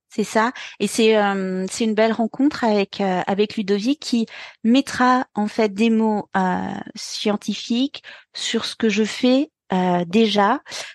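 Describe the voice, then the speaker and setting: Very slow pace and fairly even intonation in a dry, close sound with no echo against a quiet background. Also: woman, fairly high pitch for a woman. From France, Burgundy. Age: 40s. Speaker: pilates and dance teacher. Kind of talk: interview. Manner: hesitant.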